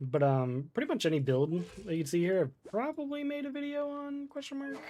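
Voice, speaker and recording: A man with a slight Florida accent, high pitch and very wide pitch swings, in a dark, mellow, relaxed tone at a fairly quick pace. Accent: slight Florida accent, others have noticed it. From Florida, US. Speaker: gaming streamer. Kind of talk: casual live-stream chat. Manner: relaxed, many fillers and hesitations.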